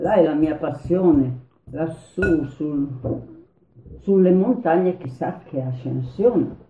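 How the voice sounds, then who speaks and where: The speech moves at a very slow pace, broken by long, frequent pauses. Intonation is lively, and music plays in the background. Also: woman, very deep, low pitch for a woman. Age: 90s. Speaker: former partisan. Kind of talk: oral history interview. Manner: halting.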